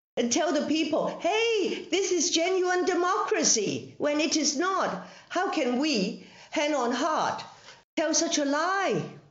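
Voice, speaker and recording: A woman speaks at an extremely high pitch and a very slow pace, with lively intonation, very even loudness, and audible room echo. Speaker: legislator and former journalist. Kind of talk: parliamentary evidence session. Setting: video call.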